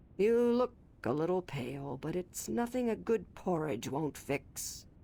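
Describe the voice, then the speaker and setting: A woman's put-on character voice, raspy and fairly low, with very wide pitch swings at a moderate pace. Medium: video game. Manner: formal, measured.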